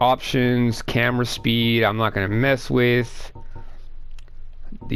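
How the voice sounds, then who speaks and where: Audible room echo surrounds a man speaking at a medium pitch in a monotone, flat intonation. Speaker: gaming video creator. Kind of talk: gameplay commentary. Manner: loud; casual, filler-heavy.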